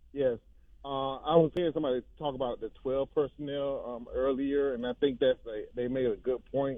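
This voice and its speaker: At a moderate pace, a man with an ordinary speaking voice talks at a fairly high pitch, keeping his intonation fairly even. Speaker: caller. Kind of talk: call-in radio. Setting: phone call.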